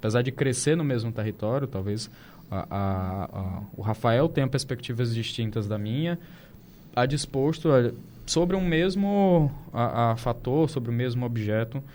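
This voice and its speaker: Over a very clean recording with a silent background, a man with a plain, everyday voice talks fairly slowly at a medium pitch with lively intonation. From Brazil. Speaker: podcast host. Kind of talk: casual interview chat. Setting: studio panel table.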